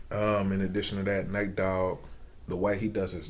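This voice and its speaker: Audible room echo surrounds a man speaking at a very deep, low pitch. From Indiana, US Midwest. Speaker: rapper and singer. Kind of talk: casual interview. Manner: animated.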